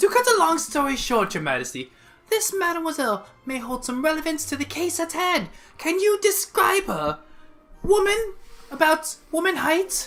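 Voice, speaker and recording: A woman uses a put-on character voice at an extremely high pitch and a moderate pace. Faint music plays in the background. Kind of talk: courtroom speech. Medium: actual play.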